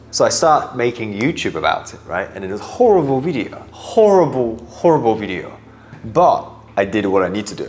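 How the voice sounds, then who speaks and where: A fairly quick voice with a Japanese accent, big swings in loudness and audible room echo. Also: man. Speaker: mindset coach. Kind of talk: motivational talk. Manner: emphatic.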